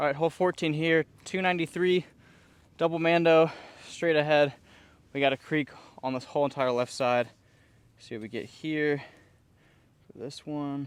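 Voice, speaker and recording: A man's voice with big swings in loudness, a moderate pace, and long, frequent pauses. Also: fairly high pitch for a man. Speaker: disc golf youtuber. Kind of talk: casual vlog commentary while playing. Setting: outdoors on disc golf course. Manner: animated.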